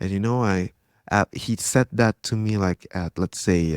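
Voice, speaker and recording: Recorded very cleanly against a silent background, with a dry, close sound and no echo, a man with an Indonesian accent speaks at a moderate pace in a very deep, low pitch with ordinary pitch variation. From Indonesia, Jakarta. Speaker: tech entrepreneur and grappler. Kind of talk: casual interview chat.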